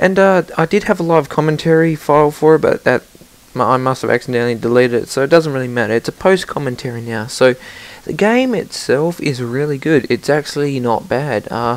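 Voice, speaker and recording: With an Australian accent, a man speaks fairly quickly at a fairly high pitch over noticeable background noise. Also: ordinary pitch variation. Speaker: gaming commentator. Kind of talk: recorded gameplay commentary. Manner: casual, hesitant with fillers.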